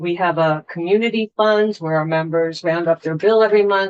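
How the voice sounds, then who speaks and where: A woman talks in a plain, everyday voice, her fairly low pitch held in fairly even intonation. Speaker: utility representative. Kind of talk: testimony.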